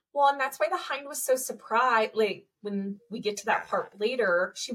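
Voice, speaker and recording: A woman with an ordinary speaking voice talks with lively intonation. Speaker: podcast co-host. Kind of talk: casual chat. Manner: upbeat.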